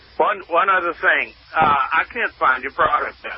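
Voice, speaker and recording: A man talks at a moderate speed, with noticeable noise in the background. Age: 70s. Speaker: radio caller. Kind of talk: phone-in question.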